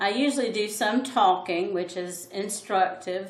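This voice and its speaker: The speaker has a Southern US accent, and audible room echo surrounds the voice. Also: woman. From US South. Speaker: art teacher. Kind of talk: tutorial. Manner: thoughtful, hesitant with fillers.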